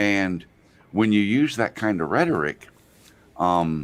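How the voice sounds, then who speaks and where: A soft-spoken man with a fairly low voice. He talks at a fairly slow pace. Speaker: drone show host appearing as panel guest. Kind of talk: casual chat. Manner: soft and quiet.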